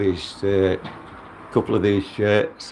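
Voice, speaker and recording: A man with a fairly low pitch talks at a very slow pace amid noticeable background noise. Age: 60s. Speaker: YouTuber. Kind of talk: vlog walkthrough. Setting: outdoors. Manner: casual, halting.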